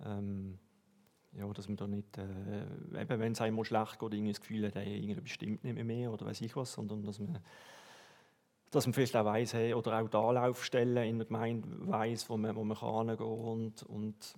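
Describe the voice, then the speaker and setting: A man speaks in a Swiss accent at a medium pitch. His pace is moderate, with long, frequent pauses. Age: 40s. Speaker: church member, customs officer. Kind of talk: testimony.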